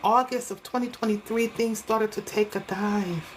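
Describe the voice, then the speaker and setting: A woman's animated tone carries over noticeable background noise. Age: 60s. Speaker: hair stylist and online creator. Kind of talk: casual monologue vlog.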